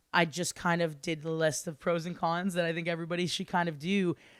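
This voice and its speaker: On a very clean recording with a silent background, a woman with a Canadian accent speaks at a fairly quick pace in an animated tone, her pitch fairly low. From Ottawa, Ontario, Canada. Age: 20s. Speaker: singer-songwriter. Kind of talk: casual interview.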